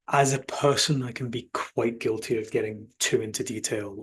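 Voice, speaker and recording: A man with a Glasgow accent speaks in a flat, monotone way, his voice somewhat breathy. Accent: Scottish (Glasgow), milder than typical. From Scotland, Glasgow. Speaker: sales enablement executive. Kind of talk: podcast interview.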